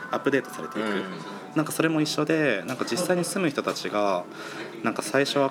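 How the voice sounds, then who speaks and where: A man rattles off his words at a very fast pace, his intonation lively, with noticeable background noise behind him. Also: fairly high pitch for a man. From Kawagoe, Saitama, Japan. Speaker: spatial designer. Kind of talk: interview.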